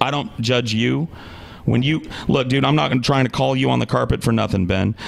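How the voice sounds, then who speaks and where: Speaking at a fairly quick pace, a man with a medium-pitched voice is heard over noticeable background noise. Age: 30s. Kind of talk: casual chat.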